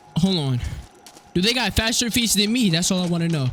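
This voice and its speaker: A man with a high pitch talks at a fairly quick pace in a raised, projected voice with an animated tone and very wide pitch swings, amid audible room echo and noticeable background noise. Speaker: gaming YouTuber. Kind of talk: gameplay commentary.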